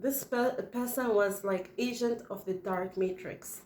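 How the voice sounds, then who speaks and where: A woman talks with a non-native accent at a fairly high pitch. Her tone is animated. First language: not English. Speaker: spiritual video channel host. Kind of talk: casual spiritual monologue to camera.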